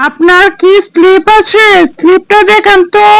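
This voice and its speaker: This is a cartoonish character voice. It is squeaky and extremely high-pitched. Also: moderate pace. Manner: brisk, businesslike.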